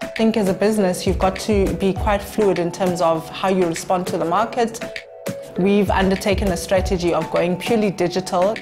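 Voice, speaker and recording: A woman talks at a fairly quick pace while clear music plays in the background. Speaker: auctioneering company managing director. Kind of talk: interview answer about her business. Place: meeting room.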